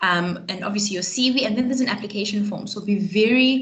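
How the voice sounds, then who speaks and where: A woman speaks at a very fast pace with a medium pitch and fairly even intonation. Audible room echo and noticeable background noise are present. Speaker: career advisor. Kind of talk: webinar presentation. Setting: online webinar.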